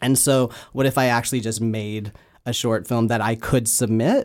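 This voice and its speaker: A man with a plain, everyday voice speaks at medium pitch and a moderate pace. The recording is very clean, with a silent background. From Canada. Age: 30s. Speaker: filmmaker and comedian. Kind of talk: casual interview.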